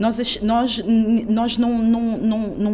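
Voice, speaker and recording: A woman speaks at a very slow pace, with audible room echo and noticeable background noise. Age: 40s. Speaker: cultural producer, activist. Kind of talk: interview. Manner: halting, repeats words.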